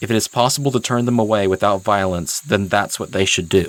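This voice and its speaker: Noticeable background noise sits behind a man whose voice is fairly low in pitch. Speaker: video essayist / head-canon storyteller. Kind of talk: dramatic story reading, second-person narration. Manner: earnest, dramatic, building tension.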